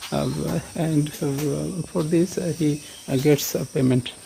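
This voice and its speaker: There is noticeable background noise in this clip. The man's voice sits fairly high in pitch. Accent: Bengali. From Bangladesh. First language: Bengali. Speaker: cattle farmer. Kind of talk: casual vlog tour. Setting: farm, cowshed. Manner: halting, many fillers.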